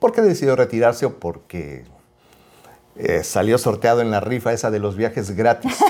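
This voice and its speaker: At a moderate pace and medium pitch, a man talks in an unremarkable speaking voice, his pitch varying normally. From Mexico City. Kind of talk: casual chat.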